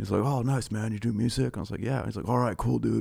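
A man talks at a very fast pace in a fairly low pitch, with vocal fry and ordinary pitch variation. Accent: Californian. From California. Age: 30s. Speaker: bass player. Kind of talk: casual chat. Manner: laid back.

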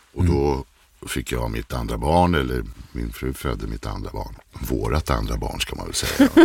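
There is a man with a very deep, low voice at a moderate pace. His pitch varies in an ordinary way, and his loudness swings widely. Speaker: voice-over artist. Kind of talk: casual chat.

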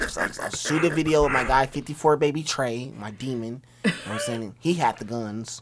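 Amid noticeable background noise, a man speaks at a moderate pace with hardly any pauses, his medium-pitched voice showing ordinary pitch variation and big swings in loudness. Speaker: rapper. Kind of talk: casual chat. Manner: talkative.

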